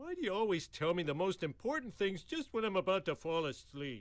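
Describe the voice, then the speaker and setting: A man puts on a cartoonish character voice, high-pitched and delivered at a fairly quick pace. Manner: dopey.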